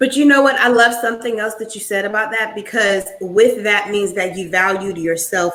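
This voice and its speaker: A woman speaks at a moderate pace in a plain, everyday voice, her medium pitch showing ordinary variation. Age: 30s. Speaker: podcast host. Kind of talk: interview. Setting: live stream.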